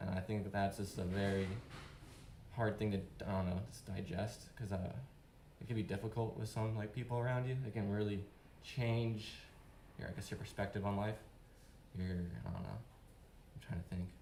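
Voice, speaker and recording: Fairly low in pitch and somewhat breathy, a man talks at a moderate pace with fairly even intonation while audible room echo surrounds him. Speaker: open-mic speaker, father and skateboarder. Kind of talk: unprepared personal speech. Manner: halting.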